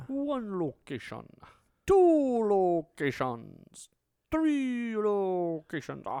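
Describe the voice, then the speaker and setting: A put-on character voice, fairly high, very slow, with very wide pitch swings. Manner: counting, playful.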